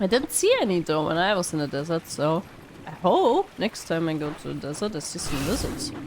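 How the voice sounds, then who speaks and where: A woman's intonation rises and falls in a lively way against noticeable background noise. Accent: German. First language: German. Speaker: gaming YouTuber. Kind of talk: let's play commentary. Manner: casual, hesitant with fillers.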